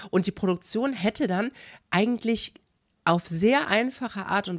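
In a very clean recording with a silent background and dry, close sound with no echo, a woman speaks at a moderate pace with very wide pitch swings. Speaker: YouTuber commenting on reality TV. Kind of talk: casual commentary to viewers.

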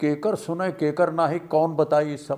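A man with a fairly high pitch speaks against a quiet background. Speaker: film actor. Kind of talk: poetry reading. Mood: playful, expressive.

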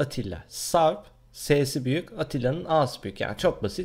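Over a quiet background, a man speaks at a very slow pace with vocal fry. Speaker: gaming YouTuber; gaming channel vlogger. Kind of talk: vlog, casual talk to camera. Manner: hesitant, many fillers. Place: home room. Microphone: webcam.

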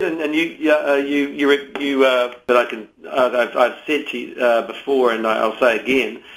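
Against noticeable background noise, a man with a New Zealand accent speaks at medium pitch and a moderate pace, with fairly even intonation and hardly any pauses. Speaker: politician. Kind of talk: radio interview answer. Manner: full of ums and ahs.

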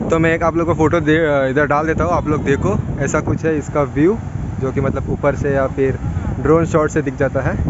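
Loud background noise accompanies a man talking at a fairly quick pace, the sound itself dry with no echo. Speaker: travel vlogger. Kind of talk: casual vlog chat. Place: beach. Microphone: phone near.

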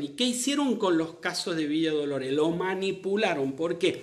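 A man's animated tone and lively intonation at a moderate pace, over a quiet background. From Argentina. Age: 50s. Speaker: doctor; commentator on the pandemic. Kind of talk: live stream commentary. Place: home room. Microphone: phone near.

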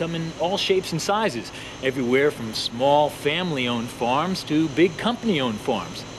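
Over noticeable background noise, a man talks at a moderate pace with hardly any pauses. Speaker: presenter. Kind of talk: children's educational presenting. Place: farm machine.

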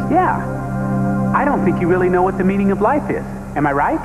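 A man at a very fast pace over loud background music. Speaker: actor playing everyman Phil. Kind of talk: scripted infomercial dialogue. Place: studio.

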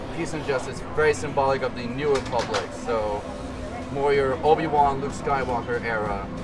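Clear music can be heard in the background. Over it, a man talks at a moderate pace. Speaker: vlogger. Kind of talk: casual vlog chat. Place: street. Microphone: phone near.

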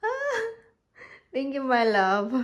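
A woman talks at a fairly slow pace. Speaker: vlogger. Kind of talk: casual vlog. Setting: at home. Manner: laughing often.

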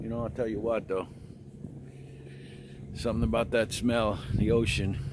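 Over noticeable background noise, a man talks in a fairly low pitch with ordinary pitch variation. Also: dry sound with no echo. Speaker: travel vlogger. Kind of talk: casual vlog chat. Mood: enthusiastic, opinionated. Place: waterside. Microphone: phone near.

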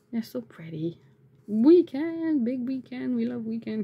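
A somewhat breathy woman speaks at a fairly slow pace. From Canada. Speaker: YouTuber and aspiring author; YouTuber. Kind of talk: casual unboxing vlog. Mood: delighted, cheerful. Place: home room. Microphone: phone near.

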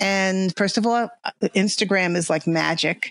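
A woman with a New York accent speaks with ordinary pitch variation in a dry, close sound with no echo. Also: very clean recording, silent background. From grew up about 40 miles north of New York City. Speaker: artist, podcast interview guest.

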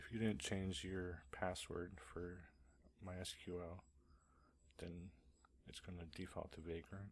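A man speaks in a very deep, low voice at a very slow pace. His intonation is flat and monotone, with long, frequent pauses. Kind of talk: screencast tutorial narration. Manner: casual, hesitant.

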